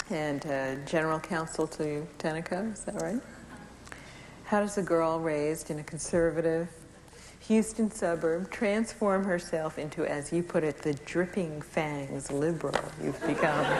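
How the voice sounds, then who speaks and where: This woman has a plain, everyday voice pitched fairly low. She speaks at a fairly slow pace with ordinary pitch variation. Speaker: author. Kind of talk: interviewer question.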